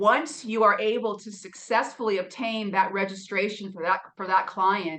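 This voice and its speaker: Fairly slow and medium in pitch, a woman's voice comes across bright and sharp. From Maine. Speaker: lawyer. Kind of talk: interview. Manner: halting, with frequent repetitions.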